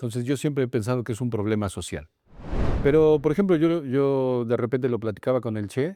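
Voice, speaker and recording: The man's tone is dark and mellow, at a medium pitch. He uses ordinary pitch variation. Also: fairly quick pace. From Mexico. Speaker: podcast host. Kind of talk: interview.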